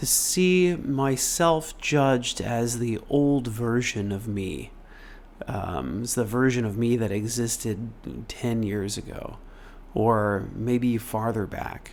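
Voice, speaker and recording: A man's calm tone at a very slow pace, with audible room echo. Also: medium pitch for a man, ordinary pitch variation. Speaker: meditation teacher. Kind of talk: live-streamed talk before guided meditation. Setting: live stream. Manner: halting.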